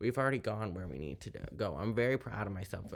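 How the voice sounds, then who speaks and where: On a very clean recording with a silent background, a man with an American accent talks at a fairly low pitch with vocal fry and lively intonation. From US South. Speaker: YouTuber reading poetry. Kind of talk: casual monologue.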